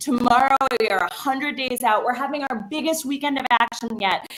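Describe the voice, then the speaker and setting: A woman with an American accent speaks at a high pitch and a fairly quick pace, her tone animated and her pitch variation ordinary. Noticeable background noise is present. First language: Bengali. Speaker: campaign staffer. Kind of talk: speech at online rally.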